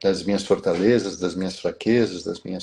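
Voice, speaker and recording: The man's voice has a dark, mellow tone. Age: 50s. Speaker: business executive and biographical counselor. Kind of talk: live stream interview.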